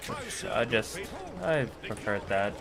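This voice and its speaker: A man talks rather unhurriedly while music sounds in the background. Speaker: gaming streamer. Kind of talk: casual live-stream commentary.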